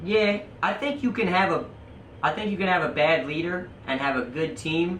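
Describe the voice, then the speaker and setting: Over noticeable background noise and audible room echo, a man talks loudly at a moderate pace with a high pitch. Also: lively intonation. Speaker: podcast guest, shop manager. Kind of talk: casual chat.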